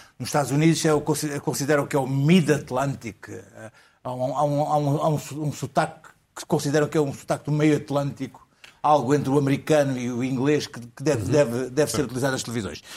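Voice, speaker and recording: With a normal speaking voice, a man talks at a fairly quick pace, his fairly high pitch held in fairly even intonation. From Porto, northern Portugal. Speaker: journalist. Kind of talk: comedy panel chat.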